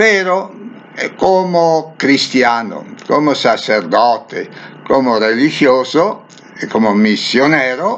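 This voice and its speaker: Background noise is noticeable as a man speaks at a very slow pace. His fairly high voice moves through very wide pitch swings. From northern Italy, near Venice. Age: 70s. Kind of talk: religious reflection. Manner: halting.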